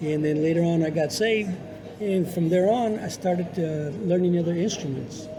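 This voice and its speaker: A man's high-pitched voice at a moderate pace, fairly even in intonation, with audible room echo and music in the background. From New Mexico. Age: 70s. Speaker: radio broadcaster and musician. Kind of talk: casual interview.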